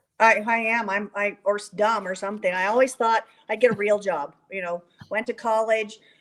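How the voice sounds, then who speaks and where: Speaking with an American accent, a woman with a fairly high pitch keeps a moderate pace and fairly even intonation. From Colorado, US. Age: 60s. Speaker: horse trainer. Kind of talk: interview chat. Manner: halting, many fillers.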